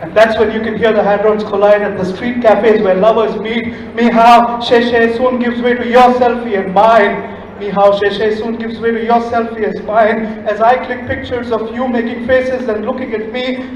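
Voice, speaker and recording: Amid noticeable background noise, a man with an extremely high pitch talks at a moderate pace in a monotone, flat intonation, with hardly any pauses. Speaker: poet. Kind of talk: spoken word poetry performance. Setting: live stage, festival audience.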